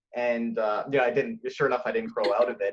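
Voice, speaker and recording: A man talks at a fairly quick pace. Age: 30s. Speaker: guest with Tourette syndrome. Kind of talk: casual interview. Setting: video call.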